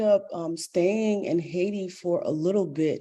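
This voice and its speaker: Speaking against a quiet background, a woman has a fairly low pitch, a dark, mellow tone and ordinary pitch variation. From Boston. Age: 40s. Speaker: professor and Vodou priestess. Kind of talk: interview.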